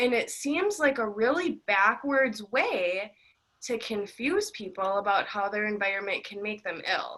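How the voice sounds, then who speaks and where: A woman speaks loudly and fairly slowly in a fairly high pitch, her bright, sharp tone carrying ordinary pitch variation. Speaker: interviewer on mold illness. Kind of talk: interview discussion.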